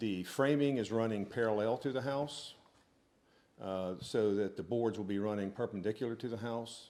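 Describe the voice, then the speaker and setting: A man with a fairly low pitch and a dark, mellow tone speaks at a fairly slow pace with ordinary pitch variation. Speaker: property owner applicant. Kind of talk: public meeting presentation. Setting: town board meeting, handheld mic. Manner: loud; hesitant, many fillers.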